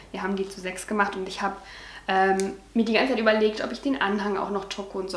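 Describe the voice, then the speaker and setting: Over audible room echo, a woman speaks in a monotone, flat intonation. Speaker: vlogger. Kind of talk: casual vlog chat. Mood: cheerful, proud. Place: home room. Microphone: camera far.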